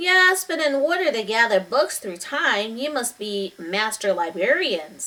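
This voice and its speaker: Delivered at a moderate pace with hardly any pauses, this put-on character voice leaps through very wide pitch swings. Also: woman, fairly high pitch for a woman. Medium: read story. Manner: calm, mysterious.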